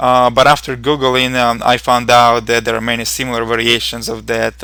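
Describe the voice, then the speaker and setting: Speaking at a moderate pace, a man with a medium-pitched voice talks with a Ukrainian accent. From Ukraine. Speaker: programming instructor. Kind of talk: tutorial. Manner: hesitant, with fillers.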